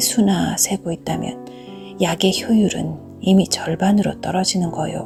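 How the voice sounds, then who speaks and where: Music plays in the background as the voice moves at a very slow pace. The tone is calm. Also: woman. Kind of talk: audiobook narration of a short story. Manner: soft-spoken, calm.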